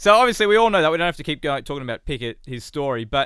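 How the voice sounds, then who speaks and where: With an Australian accent, a man speaks in a bright, sharp tone at a fairly high pitch, his pitch swinging very widely. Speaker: sports journalist. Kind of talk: casual chat.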